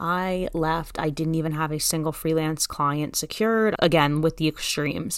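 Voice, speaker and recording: On a very clean recording with a silent background, a woman with a New Jersey accent and a very deep, low pitch speaks at a moderate pace with fairly even intonation and hardly any pauses. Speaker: freelance copywriting teacher podcaster. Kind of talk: casual solo podcast episode. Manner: brash, direct.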